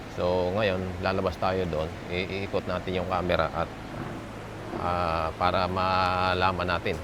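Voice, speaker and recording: The speaker is a man with a very deep, low pitch. Audible echo fills the room. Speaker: vlogger reviewing gear. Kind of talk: product review tutorial. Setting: outdoors, walking away from camera. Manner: many fillers and hesitations; speaking softly, not shouting.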